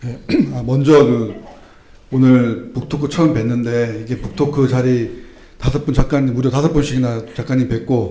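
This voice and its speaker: A man at medium pitch talks at a moderate pace with ordinary pitch variation, amid noticeable background noise and audible room echo. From moved around Chungcheong, Gyeonggi, Seoul; then Busan. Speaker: book talk audience member, civil servant. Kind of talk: casual public talk at book event. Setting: book talk event with audience.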